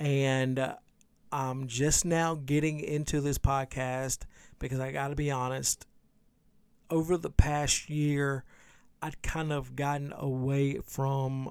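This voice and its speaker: In a very clean recording with a silent background, a man with a fairly high pitch speaks at a fairly slow pace in a flat monotone. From Louisiana. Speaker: podcaster. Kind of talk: casual solo podcast, unedited.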